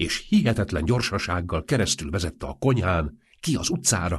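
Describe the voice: The voice is plain reading aloud. It reads the words through.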